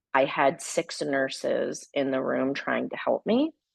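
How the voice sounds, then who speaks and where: Recorded with a dry, close sound and no echo, a woman speaks at a fairly slow pace. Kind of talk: webinar presentation. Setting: video call webinar.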